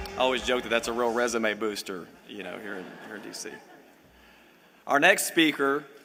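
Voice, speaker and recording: Ordinary pitch variation marks this very fast speech in a Louisiana accent. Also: man. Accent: Louisiana Southern. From US South, Louisiana. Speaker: event host. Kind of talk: speaker introduction.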